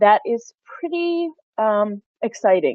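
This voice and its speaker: A woman talks with a Pennsylvania accent. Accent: American, Pennsylvania. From Pennsylvania, US. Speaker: university engagement director. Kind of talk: webinar presentation.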